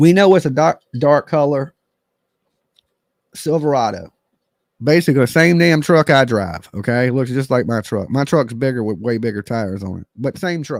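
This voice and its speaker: A loud man with an American accent speaks at a moderate pace in a medium pitch, with lively intonation and an animated tone. The recording is very clean and dry, close and without echo, over a silent background. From West Texas border (El Paso). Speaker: true crime livestreamer. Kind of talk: livestream commentary. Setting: live stream. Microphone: close to mic, loud levels.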